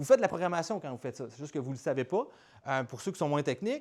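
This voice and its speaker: An animated tone and very wide pitch swings mark this voice in a Quebec accent. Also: man. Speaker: startup founder and speaker. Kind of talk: conference talk. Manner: fast; casual, animated.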